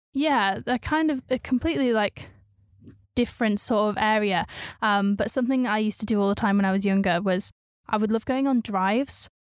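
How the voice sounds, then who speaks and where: A woman with an unremarkable speaking voice talks at a fairly quick pace and fairly high pitch with ordinary pitch variation. The recording is very clean, with a silent background and a dry, close sound with no echo. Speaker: student TV deputy head. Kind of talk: casual chat.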